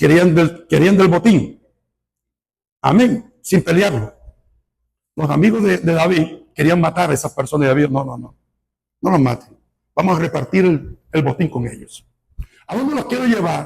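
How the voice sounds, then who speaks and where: At a moderate pace, a man with a high pitch and lively intonation speaks with long, frequent pauses. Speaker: pastor. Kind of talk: sermon. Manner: animated.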